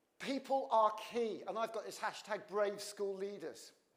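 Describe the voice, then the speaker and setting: A man's voice, high in pitch. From England, Shropshire. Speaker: conference speaker, creativity campaigner. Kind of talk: conference keynote talk. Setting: stage with audience. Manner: fast; animated.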